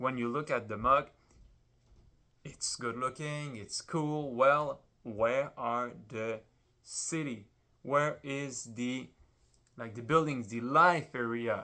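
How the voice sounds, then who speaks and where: A man with a medium pitch and a French accent speaks very slowly, with long, frequent pauses and big swings in loudness. His tone is bright and sharp, his intonation fairly even, and the recording very clean with a silent background. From France. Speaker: Lego builder vlogger. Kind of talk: casual vlog while building. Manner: hesitant, many fillers.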